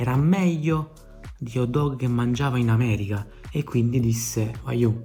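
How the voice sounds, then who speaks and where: Over music in the background, a man with a Neapolitan accent speaks in a medium pitch with fairly even intonation. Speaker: travel vlogger. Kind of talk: improvised humorous travel storytelling to camera. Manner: casual, comic.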